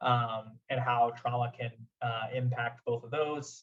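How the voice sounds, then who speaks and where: A somewhat breathy man with an American accent speaks at medium pitch in a monotone, flat intonation. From US Midwest, Omaha, Nebraska. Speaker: clinical psychologist / therapist. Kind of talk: lecture. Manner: halting, many fillers and repeats.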